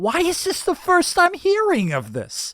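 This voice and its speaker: A put-on character voice shouts at an extremely high pitch and a moderate pace. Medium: read story. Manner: shouting, irritable.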